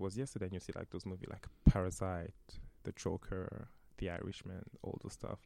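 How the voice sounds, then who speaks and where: A man talks at a very fast pace in a French accent. His tone is dark and mellow, with fairly even intonation. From France. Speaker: actor. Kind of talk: interview.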